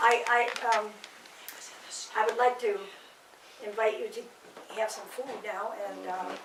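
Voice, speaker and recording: A woman with a fairly high voice speaks in fairly even intonation, her loudness swinging widely, with long, frequent pauses and audible echo in the room. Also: fairly slow pace. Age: 80s+. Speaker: pianist giving a home recital. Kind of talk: casual chat. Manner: halting.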